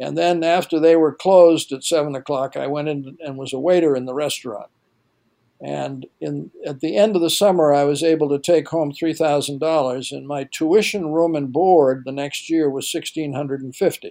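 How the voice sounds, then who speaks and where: With an American accent, a man speaks at a fairly high pitch in a dark, mellow tone, using fairly even intonation but big swings in loudness. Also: moderate pace. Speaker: retired university administrator. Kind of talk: elder telling life story in interview. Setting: podcast interview.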